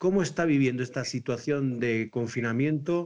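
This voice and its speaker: Over a quiet background, the speaker uses ordinary pitch variation in a Spanish accent. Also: man. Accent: Spanish (Spain). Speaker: priest, program host. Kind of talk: online talk show interview.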